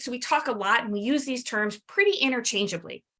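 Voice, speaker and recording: Against a quiet background, a woman's high, bright, sharp voice is raised and projected as she speaks at a fairly quick pace. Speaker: addiction medicine physician; presenter. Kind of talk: webinar lecture. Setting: webinar. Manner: fast.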